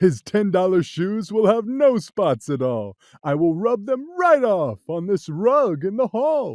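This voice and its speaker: Against a quiet background, a man uses a put-on character voice pitched high, going at a fairly slow pace with hardly any pauses. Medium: read story. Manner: laughing, carefree, boastful.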